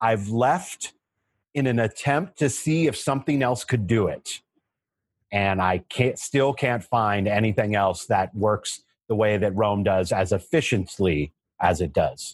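An ordinary speaking voice from a man, fairly low in pitch and fairly slow, with lively intonation, very even loudness, a dry, close sound with no echo and a quiet background. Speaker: history instructor. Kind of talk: casual chat.

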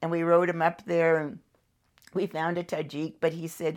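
With an American accent, a woman speaks in a very deep, low voice at a moderate pace. The recording is very clean, with a silent background. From California. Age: 70s. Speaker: world traveler. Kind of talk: casual interview. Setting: guest's living room.

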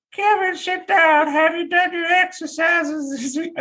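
A put-on character voice in a Southern US accent, female-sounding and pitched extremely high. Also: moderate pace. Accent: Southern American. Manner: stern, scolding.

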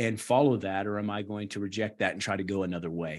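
This man has an unremarkable speaking voice with an American accent. He talks at a moderate pace with ordinary pitch variation against a quiet background. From West Virginia (rural). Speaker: missionary nurse practitioner and author. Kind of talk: interview conversation.

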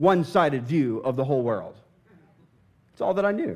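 An animated man with a Midwestern US accent and very wide pitch swings, on a very clean recording with a silent background. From southern Indiana. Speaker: pastor. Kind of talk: sermon. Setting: church.

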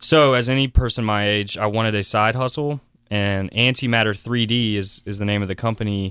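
A man with an American accent speaks at a fairly low pitch and a fairly quick pace, with fairly even intonation. It is an ordinary speaking voice, captured on a very clean recording with a silent background. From South Carolina, Columbia area. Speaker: startup venture builder, CEO. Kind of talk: radio interview.

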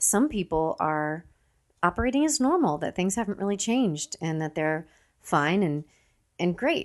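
A soft-spoken woman's medium-pitched voice with very wide pitch swings, over a quiet background. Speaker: podcast host. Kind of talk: casual chat. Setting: at home, kids asleep nearby.

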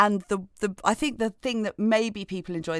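Over a very clean recording with a silent background, a woman speaks in a plain, everyday voice at medium pitch, at a moderate pace with ordinary pitch variation. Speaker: podcast co-host. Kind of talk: casual chat. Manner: playful, laughing.

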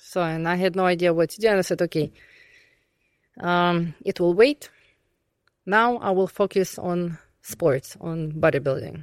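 A fairly low-pitched woman's voice with a Russian accent, fairly slow with long, frequent pauses and ordinary pitch variation, on a very clean recording with a silent background. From southern Russia. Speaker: pro bodybuilder. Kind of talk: casual interview.

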